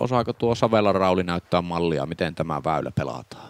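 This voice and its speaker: A man's very deep, low voice with vocal fry, very wide pitch swings and a moderate pace. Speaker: disc golf commentator and player.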